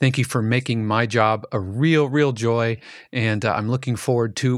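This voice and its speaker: In a very clean recording with a silent background, a man with a medium-pitched voice speaks at a moderate pace in a cheerful tone. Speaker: podcast producer and co-host. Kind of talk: casual chat. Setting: studio.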